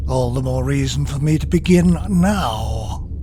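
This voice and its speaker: Using a cartoonish character voice, a man speaks at a fairly slow pace with clear background noise. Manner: imperious, haughty.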